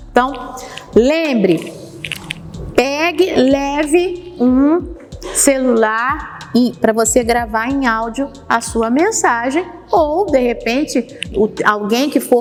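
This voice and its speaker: A woman's high voice swings very widely in pitch against noticeable background noise. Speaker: homiletics teacher. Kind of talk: lecture. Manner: gestures with hands while speaking.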